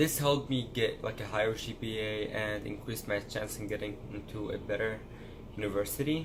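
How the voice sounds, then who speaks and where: A man's fairly low voice in an Arabic accent, with fairly even intonation and audible room echo. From Syria. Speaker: pre-med college student vlogger. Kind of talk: casual vlog monologue.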